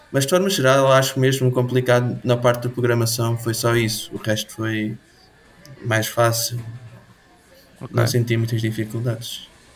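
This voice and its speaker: At a moderate pace, a man of medium pitch speaks with fairly even intonation and long, frequent pauses. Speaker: student game programmer. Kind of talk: interview.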